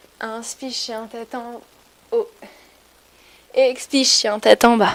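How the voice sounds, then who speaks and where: High-pitched and fairly even in intonation, a woman talks at a very slow pace. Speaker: yoga teacher. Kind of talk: guided yoga class.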